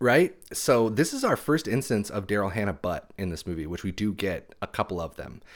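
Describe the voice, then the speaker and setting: A man's fairly low, lively voice at a fairly quick pace, a normal speaking voice, on a very clean recording with a silent background. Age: 30s. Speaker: podcast host and author. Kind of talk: casual chat.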